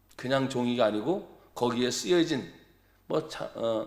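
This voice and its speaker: Fairly slow speech from a man, with ordinary pitch variation and audible echo in the room. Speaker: pastor. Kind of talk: sermon. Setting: church. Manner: animated.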